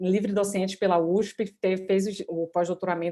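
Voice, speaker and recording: A woman speaks at a fairly quick pace in a medium pitch. Her tone is dark and mellow. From Bahia, Brazil. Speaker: law professor, moderator. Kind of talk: panel moderation. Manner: halting.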